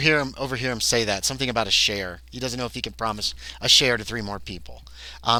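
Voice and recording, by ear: The passage is read aloud in a natural voice, and the pitch varies in an ordinary way.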